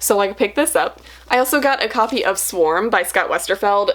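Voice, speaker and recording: There is noticeable background noise behind the speaker. A woman talks at a fairly quick pace in a medium pitch. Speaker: booktuber. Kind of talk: casual haul video. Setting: home library. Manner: fast.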